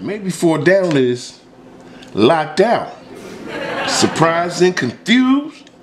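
There is noticeable background noise as a man speaks with a high pitch. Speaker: vlogger. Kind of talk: casual vlog chat. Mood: playful, joking. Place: kitchen. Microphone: phone near.

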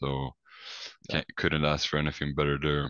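A man with a Swedish accent and a very deep, low pitch. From Sweden. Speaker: college basketball player. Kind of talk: casual interview.

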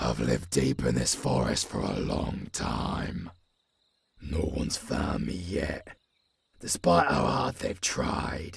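A man's put-on character voice, extremely low in pitch, with vocal fry, big pitch swings and a slow pace

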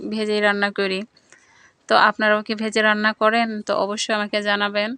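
A woman speaks at a medium pitch with a bright, sharp tone and monotone, flat intonation. The sound is dry and close, with no echo. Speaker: village vlogger, housewife. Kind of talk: vlog narration. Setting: village kitchen, clay stove.

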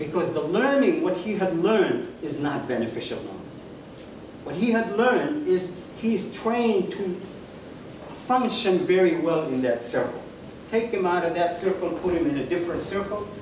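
Amid light background noise and audible room echo, a man talks at a moderate pace with long, frequent pauses. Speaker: guest. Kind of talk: lecture. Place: hall. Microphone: camera far.

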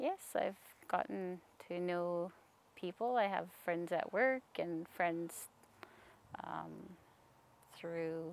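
Over light background noise, a woman's voice comes through dry with no echo. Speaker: language program illustrator and administrator. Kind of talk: interview about her job. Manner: hesitant, with filler words. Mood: calm, relaxed. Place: open country.

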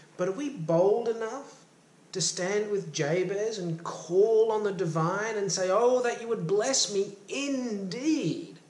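Audible room echo around a man's high voice, very slow in pace and ordinary in pitch variation. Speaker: self-help coach and motivational YouTuber. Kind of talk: fervent prayer-like devotional teaching, invoking blessing. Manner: earnest, impassioned, warm and uplifting, boldly pleading. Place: home room. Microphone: phone near.

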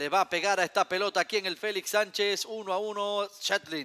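Bright, sharp tone in a man's raised, projected voice. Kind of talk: live sports commentary.

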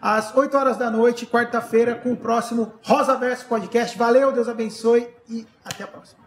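Light background noise and audible room echo accompany a man whose voice sits at an extremely high pitch. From Brazil. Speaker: podcast host and band member; podcast host. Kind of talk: casual chat. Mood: warm, grateful. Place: studio.

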